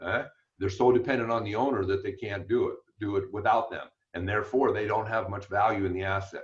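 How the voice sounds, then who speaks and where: Fairly low in pitch, a man's voice comes out somewhat breathy. He talks at a very fast pace. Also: fairly even intonation. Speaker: business coach. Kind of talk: webinar presentation.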